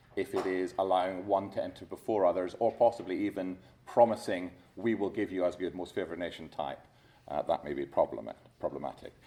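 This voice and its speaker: The tone is dark and mellow. Delivery runs at a very fast pace with ordinary pitch variation. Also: man, very deep, low pitch for a man. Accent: Scottish. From Scotland. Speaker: competition lawyer. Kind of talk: conference talk. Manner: halting.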